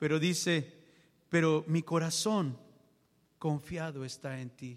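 A man talks at a very slow pace. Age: 40s. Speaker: preacher. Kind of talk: sermon. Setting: church.

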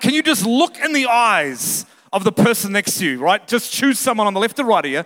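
A man speaks in a raised, projected voice at an extremely high pitch, with a bright, sharp, animated tone and very wide pitch swings. His pace is fairly quick with hardly any pauses, and the sound is dry and close with no echo. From Australia or New Zealand. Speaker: visiting pastor. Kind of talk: sermon. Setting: church with congregation. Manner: animated, humorous.

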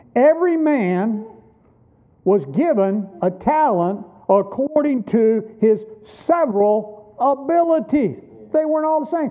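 A man speaks at an extremely high pitch, with very wide pitch swings and long, frequent pauses. Background noise is noticeable. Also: fairly slow pace. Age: 60s. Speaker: pastor. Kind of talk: sermon. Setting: church.

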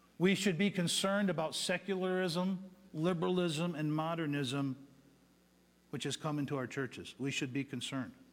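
A man speaks at a fairly high pitch with an ordinary speaking voice. His pace is moderate and his pitch variation ordinary. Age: 50s. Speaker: pastor. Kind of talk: sermon. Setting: church.

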